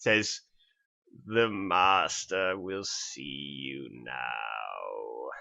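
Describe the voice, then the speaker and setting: Using a put-on character voice, a man speaks at a very slow pace in a very deep, low pitch. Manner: formal, announcing.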